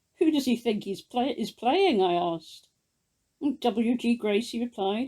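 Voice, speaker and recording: Here is a woman with a normal speaking voice. Her pitch is fairly high, with ordinary pitch variation. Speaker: amateur illustrator. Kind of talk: ghost story reading.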